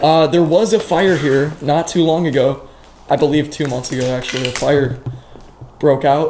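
Light background noise sits behind a man talking at a fairly slow pace with ordinary pitch variation. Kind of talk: casual vlog commentary. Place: classroom. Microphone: phone near.

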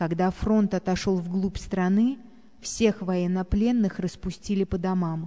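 A woman of medium pitch speaks very slowly in a dark, mellow tone with fairly even intonation. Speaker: narrator reading a memoir.

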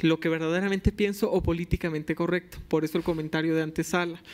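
A man's high-pitched voice, fairly quick and fairly even in intonation. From Mexico, Tabasco. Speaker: environmental lawyer, youth panelist; environmental lawyer, panelist. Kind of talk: panel discussion. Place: hall. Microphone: podium.

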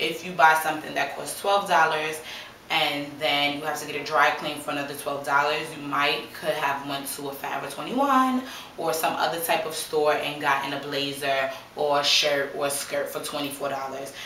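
With audible room echo and light background noise, a woman speaks in a monotone, flat intonation at a moderate pace and a very deep, low pitch. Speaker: vlogger. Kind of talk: casual vlog chat. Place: home room. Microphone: camera far.

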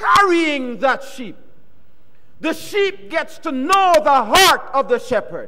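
In a raised, projected voice, a man speaks at an extremely high pitch with very wide pitch swings and an animated tone. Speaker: guest preacher. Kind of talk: sermon. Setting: church. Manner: animated, interactive, call-and-response; warm, teacherly, emphatic. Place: church. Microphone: podium.

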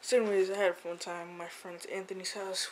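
A man's high voice comes through amid clearly audible background noise. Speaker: vlogger. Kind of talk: casual vlog chat. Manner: drowsy, low-energy talk lying down. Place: home room. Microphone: phone near.

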